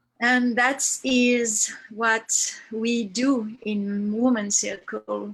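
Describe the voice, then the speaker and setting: Fairly high, somewhat breathy female voice in a French accent, with monotone, flat intonation. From France. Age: 50s. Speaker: women's circle facilitator. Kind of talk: testimony. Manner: halting.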